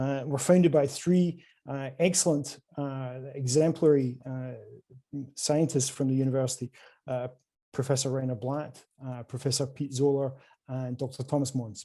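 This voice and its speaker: In a Scottish accent, a man speaks at a medium pitch with a dark, mellow tone. His pace is moderate and his intonation fairly even. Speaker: quantum computing company salesperson. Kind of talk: conference presentation. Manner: hesitant, many fillers.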